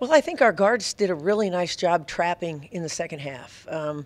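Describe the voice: A woman speaks at a moderate pace, her pitch fairly low.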